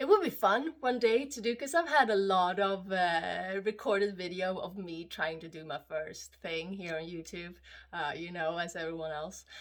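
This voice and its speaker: Delivered in a Swedish accent at a moderate pace, the speech has big swings in loudness, ordinary pitch variation and hardly any pauses. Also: woman, medium pitch for a woman. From Sweden. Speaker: vlogger. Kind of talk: casual monologue vlog. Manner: halting, many fillers.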